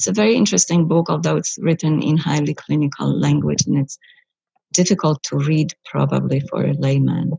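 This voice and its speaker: Speaking at a moderate pace, a woman keeps her loudness very even. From Poland, Bydgoszcz. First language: Polish (speaking German). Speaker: psychologist. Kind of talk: interview.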